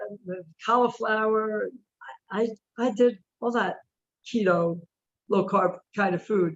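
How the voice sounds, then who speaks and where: The speaker is a woman with a fairly high voice. Her pitch varies in an ordinary way as she talks fairly slowly. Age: 60s. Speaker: carnivore diet follower. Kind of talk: interview.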